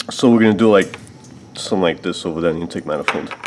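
A man talks while light background noise runs underneath. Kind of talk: tutorial. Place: garage.

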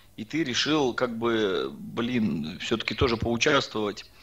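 A man speaks at a medium pitch. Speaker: flat earth debate panelist; panelist. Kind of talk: heated debate. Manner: joking. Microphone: video call.

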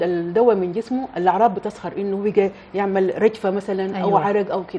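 Against light background noise, a woman speaks with hardly any pauses and ordinary pitch variation. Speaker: guest. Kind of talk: interview answer. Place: studio.

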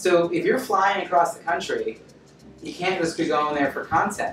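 Music plays in the background with audible room echo. A man speaks at a high pitch and a moderate pace. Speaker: speaker. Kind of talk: presentation talk to audience. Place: meeting room.

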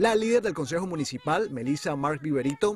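The man's pitch swings very widely as he talks at a moderate pace, in a dry sound with no echo and light background noise. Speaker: news reporter. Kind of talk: news reading.

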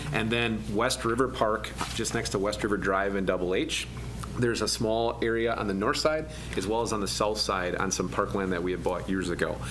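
A man at a fairly low pitch and fairly quick pace, with ordinary pitch variation and noticeable background noise. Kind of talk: meeting report. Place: meeting room. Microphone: podium.

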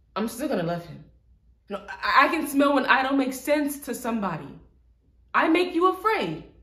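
Against a quiet background, a woman speaks in a high voice with audible room echo. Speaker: actor performing an audition monologue. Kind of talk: dramatic monologue. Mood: earnest, emotional, confrontational. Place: empty room.

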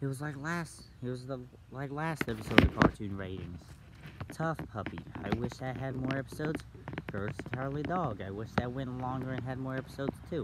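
Loud background noise surrounds a man speaking at a fairly quick pace. His pitch variation is ordinary, and the sound is dry with no echo. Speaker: vlogger. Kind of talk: casual vlog chat. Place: forest. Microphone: phone near.

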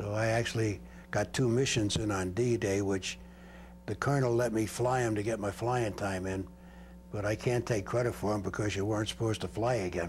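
Over light background noise, a man with an American accent speaks in a fairly low, somewhat breathy voice with fairly even intonation. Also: fairly quick pace. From Brooklyn, New York; New York. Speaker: war veteran. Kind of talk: interview testimony. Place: home room. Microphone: lapel.

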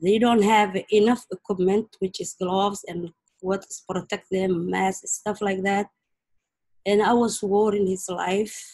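A woman speaks at a fairly slow pace in a somewhat breathy, monotone voice with flat intonation, against a quiet background. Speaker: mother of prisoner. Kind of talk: testimony. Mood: worried, grieving, earnest. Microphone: video call.

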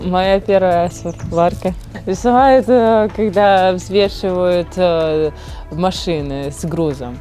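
A woman speaks with ordinary pitch variation in a dry sound with no echo, faint music playing in the background. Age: 20s. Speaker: welder. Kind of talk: interview answer. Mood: shy, smiling, modest. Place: farm machine. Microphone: lapel.

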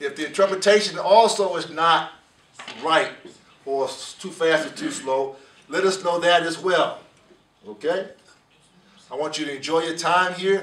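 With audible room echo, a speaker in an American accent goes at a fairly slow pace, using ordinary pitch variation and long, frequent pauses. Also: man, high pitch for a man. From United States. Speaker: program director of a law enforcement training academy. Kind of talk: welcome address to a class. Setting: in-person address to a class. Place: meeting room. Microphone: camera far.

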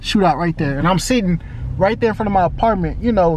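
A man with an American accent talks at a very fast pace in a high voice, the sound dry with no echo and light noise in the background. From Houston, Texas. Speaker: vlogger. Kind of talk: casual vlog. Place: car. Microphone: phone near.

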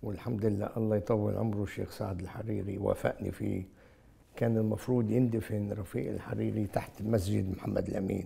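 Speaking with a Beirut accent, a man uses a fairly low, flat, monotone delivery with vocal fry. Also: moderate pace. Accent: Lebanese Arabic, Beirut. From Lebanon, Beirut; Lebanon. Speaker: engineer and businessman; interview guest. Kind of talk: interview. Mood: earnest, reflective. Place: home room. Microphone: lapel.

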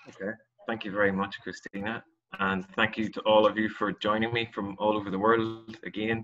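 A man's fairly low, fairly bright voice, at a fairly quick pace with little pitch movement.

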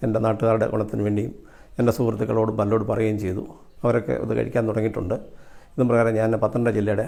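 A dark, mellow tone with vocal fry and fairly even intonation. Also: man. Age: 60s. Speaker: customer and product distributor. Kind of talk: testimony.

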